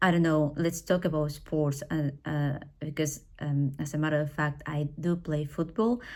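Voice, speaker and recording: With a Spanish accent, a woman speaks in a very deep, low pitch with fairly even intonation and hardly any pauses, on a very clean recording with a silent background. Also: moderate pace. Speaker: English teacher. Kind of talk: personal talk. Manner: hesitant, with fillers.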